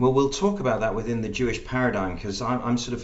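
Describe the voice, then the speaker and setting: Over noticeable background noise and audible room echo, a man with an English accent speaks at a medium pitch. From England (Birmingham roots). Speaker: podcast host. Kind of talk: interview.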